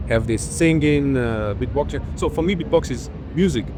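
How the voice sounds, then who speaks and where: Very wide pitch swings from a man with a non-native accent, audible room echo around him. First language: not English. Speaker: beatboxer. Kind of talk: interview. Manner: halting.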